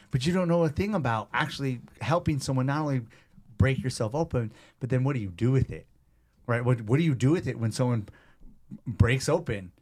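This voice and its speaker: A man with an animated tone, medium pitch, lively intonation and a somewhat breathy voice, fairly quick yet with long, frequent pauses, on a very clean recording with a silent background. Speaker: personal trainer and gym owner. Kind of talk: casual interview chat.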